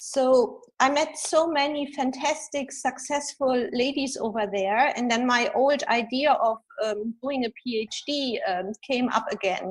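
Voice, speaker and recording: With a German accent, a woman speaks fairly slowly in a high pitch with ordinary pitch variation. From Germany. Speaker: executive coach and author. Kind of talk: interview. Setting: video podcast.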